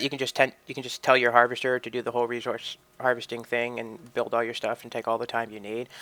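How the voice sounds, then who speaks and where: Noticeable background noise is present as a man talks at a very fast pace. His pitch sits in the medium range. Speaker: gaming video creator. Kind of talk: game walkthrough commentary. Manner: casual, rambling.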